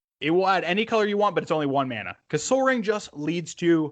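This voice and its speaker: A man's animated, very fast delivery with very wide pitch swings, over a quiet background. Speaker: podcast co-host. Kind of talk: casual chat.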